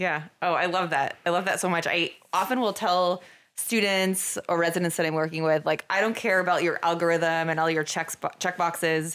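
A woman with an American accent and a plain, everyday voice speaks at a moderate pace and a fairly low pitch, her loudness very even on a very clean recording with a silent background. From Vermont, US. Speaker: emergency physician and medical director. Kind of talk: casual interview.

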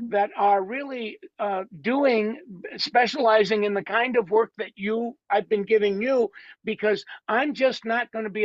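A man speaks with a high pitch and ordinary pitch variation. His pace is fairly slow. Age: 70s. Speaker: beauty industry coach. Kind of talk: casual interview.

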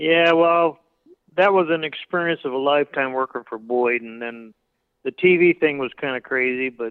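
In a normal speaking voice with an American accent, a man talks at a moderate pace and fairly high pitch, with ordinary pitch variation and big swings in loudness. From Southern California, Pico Rivera. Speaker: hot rod fabricator. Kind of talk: interview.

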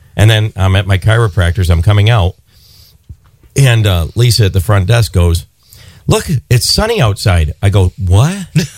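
A man speaks at a moderate pace with a fairly low pitch and ordinary pitch variation. His voice is somewhat breathy, with long, frequent pauses. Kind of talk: radio DJ patter, bantering live between songs and promos. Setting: radio studio. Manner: animated, jokey, laughing and ad-libbing.

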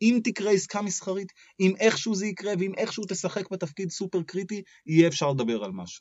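A high-pitched male voice at a very fast pace. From Israel and Australia. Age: 30s. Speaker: startup lawyer. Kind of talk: podcast interview.

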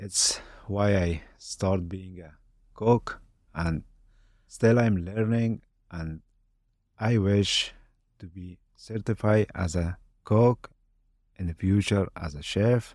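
Speaking very slowly with long, frequent pauses, a man with an Afghan accent keeps his intonation fairly even. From Afghanistan. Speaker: army veteran and cook. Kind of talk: casual interview. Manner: halting, searching for words.

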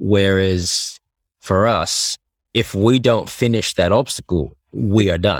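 A man's fairly low voice at a very slow pace, with ordinary pitch variation, on a very clean recording with a silent background. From Australia. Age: 20s. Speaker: athlete. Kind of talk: casual chat.

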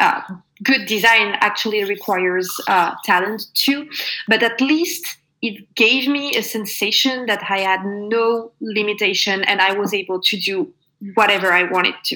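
The speaker talks at a fairly slow pace in a French accent, with ordinary pitch variation. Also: woman. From France, Normandy. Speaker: product designer. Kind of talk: interview.

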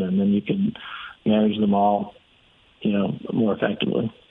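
A man's fairly low voice with ordinary pitch variation at a moderate pace, over noticeable background noise. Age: 30s. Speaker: real estate investor. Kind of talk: casual chat.

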